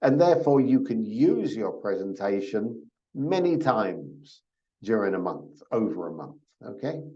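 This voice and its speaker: A man's dark, mellow, medium-pitched voice with vocal fry and very wide pitch swings, fairly slow, in audible room echo. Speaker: program orientation presenter. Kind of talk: online orientation talk. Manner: slow and repetitive.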